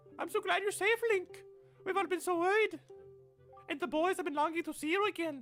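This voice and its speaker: An extremely high-pitched, put-on character voice speaks at a fairly quick pace with long, frequent pauses. Faint music plays in the background. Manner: warm, relieved, caring.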